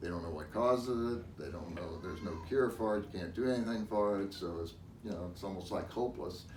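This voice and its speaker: Fairly quick, somewhat breathy speech from a man, fairly low in pitch with ordinary pitch variation, plus audible room echo. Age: 60s. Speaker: patient giving a testimonial. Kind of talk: interview testimony.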